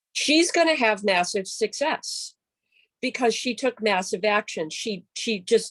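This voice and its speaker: A woman talks with a fairly high pitch and lively intonation at a fairly slow pace, in an unremarkable speaking voice. The sound is dry and close with no echo. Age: 60s. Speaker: yoga and wellness teacher. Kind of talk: casual chat.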